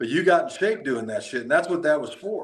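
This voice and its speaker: This man speaks at a fairly high pitch. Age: 60s. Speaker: martial arts instructor. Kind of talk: casual chat. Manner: animated.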